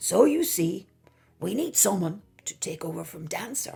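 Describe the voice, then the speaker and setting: In a put-on character voice, a woman with a medium pitch speaks at a moderate pace, raspy yet with a warm tone. Her pitch swings very wide, her loudness shifts greatly, and music plays in the background. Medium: read story. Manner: warm, kindly.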